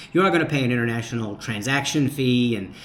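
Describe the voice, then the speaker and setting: A man with an American accent has a plain, everyday voice of medium pitch. He talks at a fairly quick pace with ordinary pitch variation. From United States. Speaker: retired expat vlogger. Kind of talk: casual vlog, reading and answering viewer comments.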